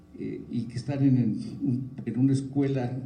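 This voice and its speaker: A man with a somewhat breathy voice talks, and room echo can be heard. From Mexico. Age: 70s. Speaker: forum speaker on public policy. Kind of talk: talk to students at a forum. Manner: halting, many fillers.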